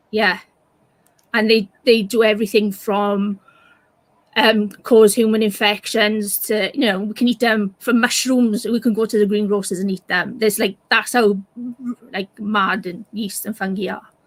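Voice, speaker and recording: A woman in a Welsh accent, fairly high in pitch, monotone and flat, at a moderate pace. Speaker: science communicator. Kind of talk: casual chat.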